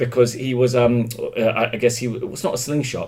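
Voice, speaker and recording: A somewhat breathy voice with a London accent, flat monotone intonation and a moderate pace. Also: man. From England, London. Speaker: stand-up comedian. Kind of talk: casual chat.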